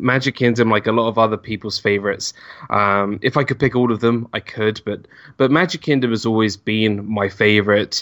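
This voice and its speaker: A man with a London accent talks at a fairly quick pace, his medium-pitched voice keeping a fairly even intonation. The sound is dry and close with no echo, over a quiet background. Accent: British English, London. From northwest London, England. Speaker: YouTuber and former theme park cast member. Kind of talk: casual interview chat.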